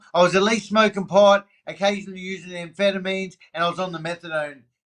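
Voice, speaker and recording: With an Australian accent, a man speaks in a high pitch and an animated tone. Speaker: recovering addict sharing his story. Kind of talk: podcast interview.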